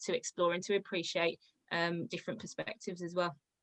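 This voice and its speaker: A woman speaks in a Birmingham accent with a bright, sharp tone. The sound is dry and close, with no echo. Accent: Birmingham (Brummie). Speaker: creative writing student. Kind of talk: panel discussion.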